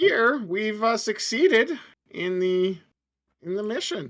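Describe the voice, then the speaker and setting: Fairly high in pitch, a put-on character voice moves along at a fairly slow pace. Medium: actual play. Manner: earnest, measured.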